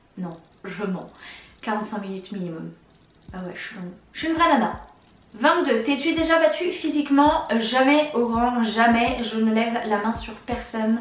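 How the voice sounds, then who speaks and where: A woman speaks at a fairly slow pace with a fairly high pitch, lively intonation, big swings in loudness, and long, frequent pauses. Audible room echo and noticeable background noise come through the recording. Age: 20s. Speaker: YouTuber. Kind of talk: casual tag video answering questions.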